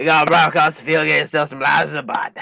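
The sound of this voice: Putting on a character voice, a man rattles along at a very fast pace, raspy and fairly high-pitched.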